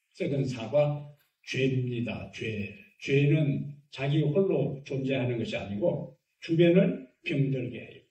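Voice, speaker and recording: A man at a very slow pace, fairly high pitch and ordinary pitch variation, with big swings in loudness and audible room echo. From Gyeongsang region, Korea. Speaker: pastor. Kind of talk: sermon.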